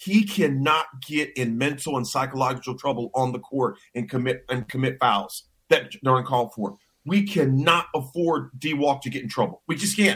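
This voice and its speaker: This man has a plain, everyday voice, with an American accent, a medium pitch, ordinary pitch variation and a moderate pace. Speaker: sports radio co-host, former college football player. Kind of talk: casual sports talk.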